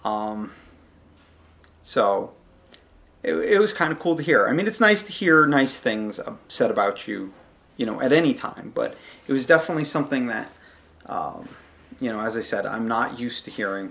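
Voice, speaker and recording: At a fairly high pitch, a man speaks with very wide pitch swings and long, frequent pauses. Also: moderate pace. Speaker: podcast host. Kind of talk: solo podcast monologue. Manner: loud.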